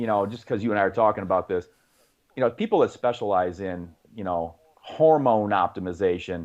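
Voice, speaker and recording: A man with an unremarkable speaking voice talks at a fairly quick pace in a fairly low pitch with ordinary pitch variation. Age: 50s. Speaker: fitness coach. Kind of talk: podcast interview. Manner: conversational, many fillers.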